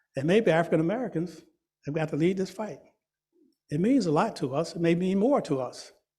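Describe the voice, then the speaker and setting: Amid audible room echo, a man speaks fairly quickly in a high pitch with lively intonation. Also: long, frequent pauses. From US South, Georgia. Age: 70s. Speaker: museum founder and director. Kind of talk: public lecture. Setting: meeting room with live and virtual audience. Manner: animated.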